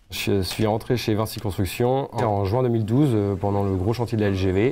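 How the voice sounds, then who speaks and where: At a moderate pace, a man with a fairly low voice speaks at very even loudness and with fairly even intonation. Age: 30s. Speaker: workshop foreman, heavy machinery mechanic. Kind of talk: corporate interview testimony. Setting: workshop. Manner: hesitant with frequent fillers.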